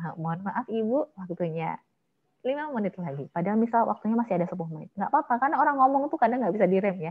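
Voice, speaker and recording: A woman speaks at a very fast pace with a strong Javanese accent. Her voice is somewhat breathy. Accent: Javanese accent, still strong. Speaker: MC trainer. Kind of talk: online training workshop with Q&A.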